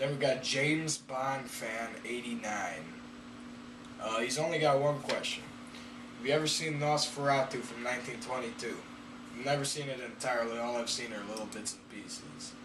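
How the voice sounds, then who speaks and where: Over noticeable background noise and audible room echo, a man speaks at medium pitch and a moderate pace, with ordinary pitch variation and big swings in loudness. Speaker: YouTuber. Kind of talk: casual Q&A reading viewer questions. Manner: hesitant, with fillers.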